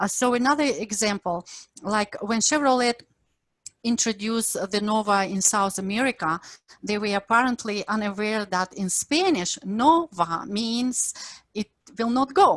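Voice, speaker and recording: In a Ukrainian accent, a woman with a fairly high pitch speaks at a moderate pace, the sound dry and close with no echo. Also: ordinary pitch variation, very clean recording, silent background. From Ukraine. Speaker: professor. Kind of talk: lecture.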